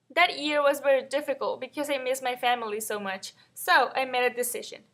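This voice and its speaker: Speaking with a Mexican accent, a woman uses a high pitch, a bright, sharp tone and a raised, projected voice at a fairly quick pace. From northern Mexico (Matamoros). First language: Spanish. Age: 20s. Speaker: college student. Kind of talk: scripted personal narration.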